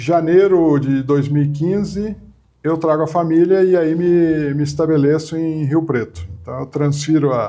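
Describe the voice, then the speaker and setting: This man has a fairly high pitch and a dark, mellow tone, speaking at a moderate pace with ordinary pitch variation. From southern Brazil, Porto Alegre; raised in São Paulo (Mooca). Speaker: media executive and journalist. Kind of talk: interview. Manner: hesitant, frequent repetitions.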